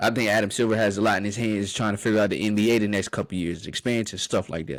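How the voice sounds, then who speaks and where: A man speaks at a very fast pace in a fairly low pitch, with an animated tone. The recording is very clean, with a silent background. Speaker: sports podcast host. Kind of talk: solo podcast monologue. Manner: animated, stammering with repeats.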